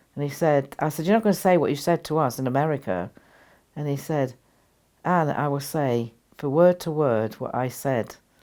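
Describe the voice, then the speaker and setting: Very deep and low in pitch, a woman speaks with a dark, mellow tone. She keeps a moderate pace and lively intonation. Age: 80s+. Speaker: spiritual teacher. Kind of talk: interview storytelling. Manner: halting.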